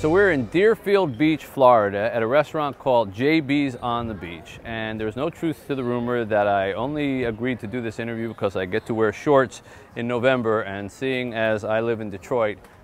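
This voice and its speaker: A man at a moderate pace with hardly any pauses, ordinary pitch variation, a dry sound with no echo and light background noise. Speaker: show host. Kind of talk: presenter intro to camera. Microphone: lapel.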